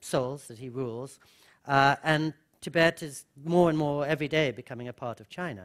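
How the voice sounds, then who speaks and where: A man speaks at a moderate pace in a fairly high pitch. His pitch varies in an ordinary way over a quiet background. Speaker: author and speaker; speaker. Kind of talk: lecture. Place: hall. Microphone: podium.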